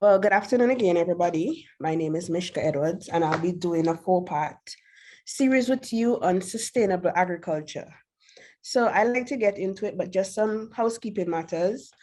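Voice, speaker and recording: A woman speaks at a fairly quick pace with ordinary pitch variation. Her medium-pitched voice has a dark, mellow tone. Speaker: agriculture instructor. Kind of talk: lecture. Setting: video call. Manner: fast.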